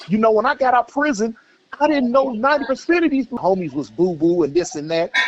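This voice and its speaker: A man talks at a fairly quick pace with lively intonation, the sound dry and close with no echo. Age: 60s. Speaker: former gang member. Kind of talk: phone-in interview. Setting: phone call.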